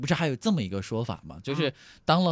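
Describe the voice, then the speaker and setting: At a very fast pace, a man speaks with very wide pitch swings. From Henan, Anyang. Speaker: podcast host. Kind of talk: casual chat. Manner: animated, laughing.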